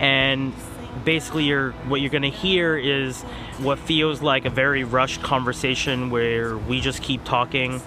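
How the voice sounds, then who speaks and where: With noticeable background noise around him, a man speaks at a fairly slow pace and a fairly high pitch. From Philippines. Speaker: podcast host. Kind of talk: casual chat.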